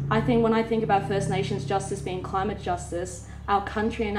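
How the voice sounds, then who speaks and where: Fairly quick speech from a woman of medium pitch with an Australian accent, with audible room echo and noticeable background noise. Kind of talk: panel discussion.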